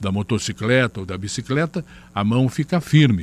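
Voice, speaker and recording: At a moderate pace, a man with a medium-pitched voice speaks with ordinary pitch variation. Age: 60s. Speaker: channel host. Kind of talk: personal testimony. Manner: halting with fillers.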